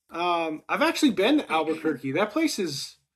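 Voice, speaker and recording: A man with an American accent talks at a high pitch. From Lowell, Massachusetts. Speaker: podcast host. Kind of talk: casual chat. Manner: animated.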